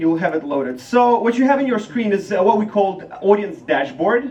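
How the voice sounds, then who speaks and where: A man with a Ukrainian accent and a high pitch talks at a moderate pace with hardly any pauses and very wide pitch swings, over noticeable background noise. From Ukraine. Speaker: startup founder. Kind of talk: product demo pitch.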